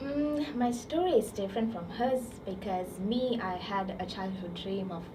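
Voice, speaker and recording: There is audible room echo and noticeable background noise. A woman speaks at a moderate pace. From Sri Lanka. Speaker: student intern. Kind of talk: casual chat.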